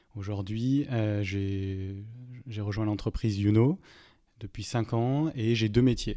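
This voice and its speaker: Fairly even intonation at a moderate pace marks this very clean recording with a silent background. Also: man. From southern France, Montpellier. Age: 30s. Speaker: HR director and e-learning expert. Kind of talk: podcast interview. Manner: hesitant, many filler sounds.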